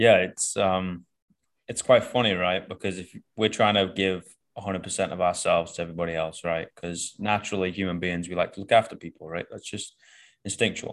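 Speaking in a Manchester accent at a moderate pace, the voice has an animated tone and big swings in loudness. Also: man, very deep, low pitch for a man. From northern England. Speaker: coach and podcast host. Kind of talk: casual chat. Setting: video call. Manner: animated, swears freely.

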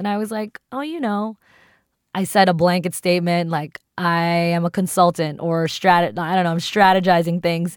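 With an American accent, a woman uses a normal speaking voice at a fairly low pitch on a very clean recording with a silent background. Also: ordinary pitch variation, moderate pace. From US East Coast. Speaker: podcast co-host. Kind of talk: casual chat.

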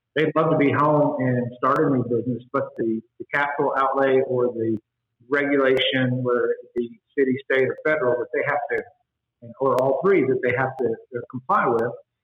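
A man's normal speaking voice, medium in pitch, at a moderate pace with an American accent. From Texas Panhandle (Spearman). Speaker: congressional candidate. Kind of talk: interview.

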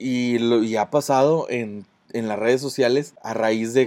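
A man with a Mexican accent talks very slowly. His pitch is medium and his intonation fairly even. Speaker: podcast co-host. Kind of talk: casual chat. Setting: outdoors. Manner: halting.

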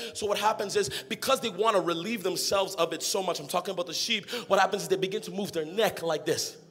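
A man's high, animated voice at a very fast pace over noticeable background noise. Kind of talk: sermon. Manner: animated, call-and-response preaching, pushing the crowd to shout back; rising, emphatic and repetitive, with laughter.

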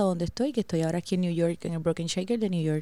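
On a very clean recording with a silent background, a woman's fairly low pitch has a dark, mellow tone. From Puerto Rico, San Juan area. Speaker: bartender, podcast co-host. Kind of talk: casual chat.

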